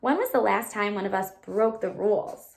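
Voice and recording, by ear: With vocal fry and audible room echo, a woman speaks at a medium pitch with ordinary pitch variation. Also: moderate pace.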